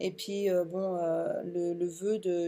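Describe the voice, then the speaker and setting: Fairly low and dark, mellow in tone, a woman's voice keeps a fairly even intonation. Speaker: essential oils distributor and vlogger. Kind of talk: casual vlog talk to camera. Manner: halting, many hesitations.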